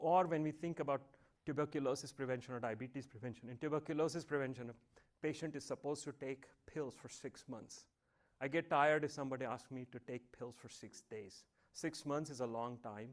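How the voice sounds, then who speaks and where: In a Marathi accent, a man talks at a fairly quick pace, his fairly high voice keeping fairly even intonation. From India, Mumbai. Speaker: professor. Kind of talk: lecture.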